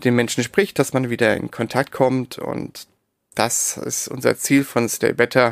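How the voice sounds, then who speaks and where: On a very clean recording with a silent background, a man with vocal fry speaks at medium pitch in a monotone, flat intonation and a fairly slow pace, the sound dry and close with no echo. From Darmstadt near Frankfurt, Germany. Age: 30s. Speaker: entrepreneur, founder of a farm-camping platform. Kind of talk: interview. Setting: separately recorded audio track.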